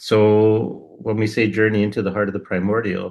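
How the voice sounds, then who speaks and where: This man has an unremarkable speaking voice, fairly low in pitch, and he talks at a moderate pace with fairly even intonation. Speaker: podcast co-host. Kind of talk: casual spiritual conversation.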